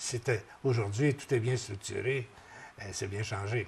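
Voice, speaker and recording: A somewhat breathy man speaks at a moderate pace and medium pitch, keeping his intonation fairly even. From Quebec, Berthierville area. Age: 70s. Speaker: retired radio broadcaster. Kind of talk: interview. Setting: tv studio. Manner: halting.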